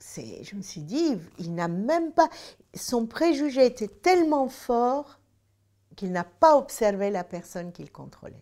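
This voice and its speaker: A woman's high-pitched voice moves through very wide pitch swings at a very slow pace on a very clean recording with a silent background. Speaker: senator. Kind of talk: personal anecdote told to camera. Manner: hesitant, many filler sounds.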